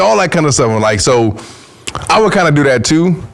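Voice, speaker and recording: With an animated tone and lively intonation, a man speaks amid audible room echo and noticeable background noise. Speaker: podcast guest. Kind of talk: casual chat. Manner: loud when passionate.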